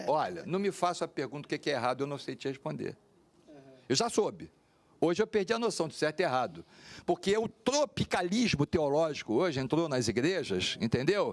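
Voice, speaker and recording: A man's fairly high voice with vocal fry, lively intonation and a fairly quick pace, dry and close with no echo. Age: 60s. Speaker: pastor. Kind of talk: panel discussion.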